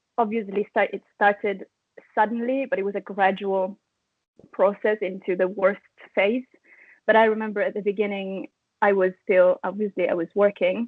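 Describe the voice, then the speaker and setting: Speaking in an Italian accent at a moderate pace, a woman keeps a medium pitch and monotone, flat intonation, pausing long and frequently. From Italy. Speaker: chronic fatigue patient sharing story. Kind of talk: interview.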